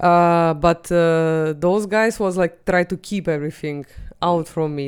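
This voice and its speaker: In a very clean recording with a silent background, a woman with a Russian accent speaks in a fairly low voice. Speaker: comedian. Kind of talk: casual chat.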